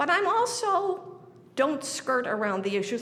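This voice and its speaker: A woman with an American accent speaks with very wide pitch swings, amid noticeable background noise and audible room echo. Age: 80s+. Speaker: resident speaking at public hearing. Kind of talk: public comment at budget hearing. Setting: city council meeting. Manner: emotional, pleading; halting, repeated false starts.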